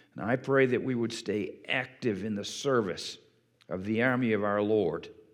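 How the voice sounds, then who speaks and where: Against audible room echo, a man speaks at a medium pitch and a fairly slow pace with fairly even intonation. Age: 60s. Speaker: pastor. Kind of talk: sermon. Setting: church.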